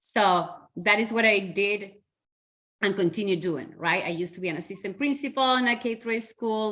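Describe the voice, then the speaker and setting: On a very clean recording with a silent background, a woman with a Spanish accent speaks in a bright, sharp tone with ordinary pitch variation. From Chile, Santiago. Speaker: educator and community organizer. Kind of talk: podcast interview.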